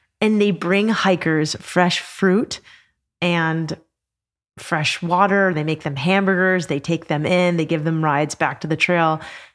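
Recorded very cleanly against a silent background, a woman with a fairly low pitch speaks at a fairly slow pace. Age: 40s. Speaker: author and adventure podcast host. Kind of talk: casual chat. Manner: animated.

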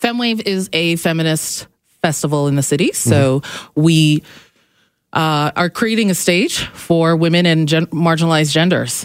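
The speech moves at a moderate pace with ordinary pitch variation and very even loudness. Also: woman, fairly low pitch for a woman. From Calgary, Canada. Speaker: comedian and feminist activist. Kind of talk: radio interview. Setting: radio studio.

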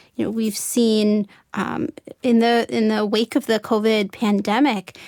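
The recording is dry and close with no echo as a woman talks at a moderate pace. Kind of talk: interview discussion.

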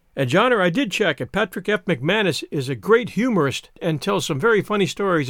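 Lively intonation in reading aloud in a natural voice.

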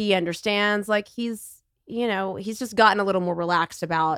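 A woman speaks with a Texan accent and fairly even intonation. The recording is very clean, with a silent background. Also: dry, close sound with no echo. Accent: Texan Southern lilt. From Texas. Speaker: colon cancer patient. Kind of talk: casual chat.

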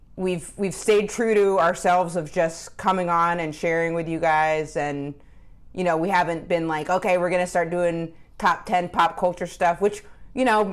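A woman with an American accent and a fairly low pitch, a normal speaking voice at a moderate pace, in a very clean recording with a silent background. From Maine, US. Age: 30s. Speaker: comedian and podcast co-host. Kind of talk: casual chat.

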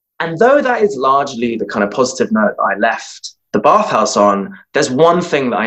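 Speaking at a moderate pace, a man has a fairly high pitch that swings very widely. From London, England. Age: 20s. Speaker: actor and storyteller. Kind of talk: live storytelling. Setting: virtual live stream.

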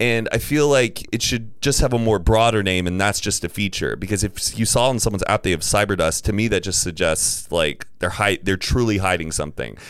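A man speaks in a plain, everyday voice, fairly low in pitch with ordinary variation. He moves at a fairly quick pace with hardly any pauses. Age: 30s. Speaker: podcast host. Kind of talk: casual chat.

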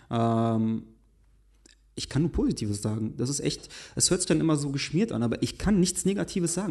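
Fairly high-pitched male speech, quick-ish and lively in intonation, against a quiet background. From western Germany, Essen. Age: 20s. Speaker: fashion blogger. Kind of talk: casual chat. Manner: halting.

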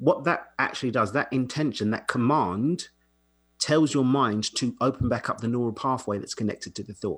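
In an ordinary speaking voice, a man talks at a moderate pace with medium pitch and ordinary pitch variation, on a very clean recording with a silent background. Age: 30s. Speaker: coach. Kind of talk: casual chat.

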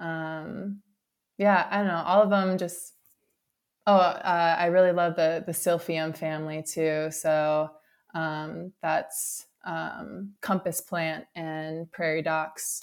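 A woman with an American accent speaks very slowly at a fairly low pitch, her intonation monotone and flat. The recording is very clean, with a silent background. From Wisconsin. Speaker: prescribed burn specialist. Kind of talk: interview. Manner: hesitant, many ums.

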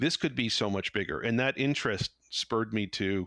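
In a plain, everyday voice, a man talks at a fairly quick pace with a fairly low pitch, the sound dry and close with no echo on a very clean recording against a silent background. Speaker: founder of a 5G innovation lab. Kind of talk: casual interview. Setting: home office.

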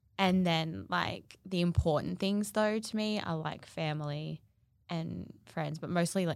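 At a moderate pace, a woman with an Australian accent speaks at a fairly low pitch. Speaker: podcast co-host, social media influencer. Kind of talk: casual chat.

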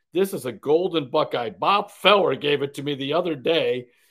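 A normal speaking voice from a man with an American accent, fairly high in pitch, at a moderate pace. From Ohio, Parma (Cleveland area). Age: 60s. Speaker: sports columnist. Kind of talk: casual chat.

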